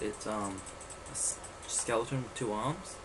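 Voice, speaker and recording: There is noticeable background noise as a man speaks with a fairly low pitch and fairly even intonation. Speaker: let's play gamer. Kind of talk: casual gameplay commentary. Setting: laptop microphone, poor quality. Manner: hesitant, lots of filler words.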